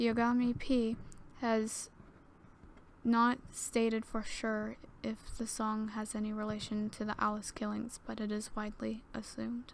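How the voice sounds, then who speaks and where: Soft-spoken and fairly high in pitch, a woman speaks at a fairly slow pace with monotone, flat intonation. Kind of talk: creepypasta story reading. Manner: soft ASMR reading.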